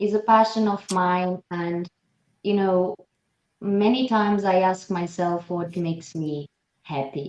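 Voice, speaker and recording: Speaking fairly slowly with a non-native accent, a woman at a medium pitch leaves long, frequent pauses while her pitch varies in an ordinary way. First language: not English. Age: young. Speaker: actress and former nurse. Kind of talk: interview.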